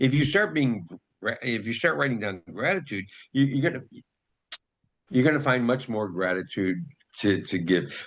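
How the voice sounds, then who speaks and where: A man's medium-pitched voice at a moderate pace, with very wide pitch swings and long, frequent pauses. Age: 70s. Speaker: retired puppeteer and journal designer. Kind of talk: interview.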